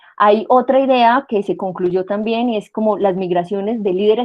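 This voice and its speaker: Here a woman with an unremarkable speaking voice talks at a moderate pace and medium pitch with ordinary pitch variation. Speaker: university lecturer. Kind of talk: online lecture.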